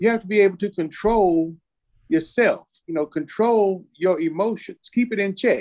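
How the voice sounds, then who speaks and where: The man's voice is high in pitch, with ordinary pitch variation. The background is quiet. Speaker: church talk show co-host. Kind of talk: casual discussion. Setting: remote call from father's hospital room. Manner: repetitive, emphatic. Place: home room. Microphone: video call.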